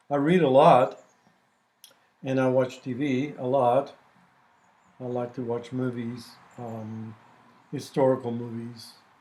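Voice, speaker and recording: Speaking at a fairly slow pace with long, frequent pauses, a man with a dark, mellow tone and medium pitch keeps his intonation fairly even while his loudness swings widely. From Puerto Rico. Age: 70s. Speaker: retired Spanish professor. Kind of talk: interview.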